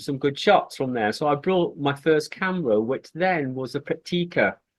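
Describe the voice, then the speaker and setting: The speaker is a man. His voice is fairly high in pitch. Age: 60s. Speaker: street photography group founder, retired mental health nurse. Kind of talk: interview. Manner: hesitant, many fillers.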